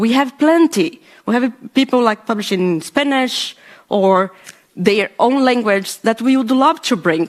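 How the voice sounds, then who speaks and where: A woman's high voice in a Brazilian accent, fairly slow, with lively intonation and very even loudness. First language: Portuguese. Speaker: podcaster, panelist. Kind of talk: panel discussion. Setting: panel event with live audience. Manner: halting, many fillers.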